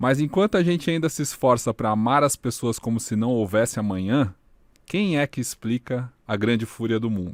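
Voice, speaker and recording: An unremarkable speaking voice with lively intonation moves at a moderate pace in a dry, close sound with no echo. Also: man, very clean recording, silent background. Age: 30s. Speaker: podcast host, digital media specialist. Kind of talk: podcast intro, scripted narration.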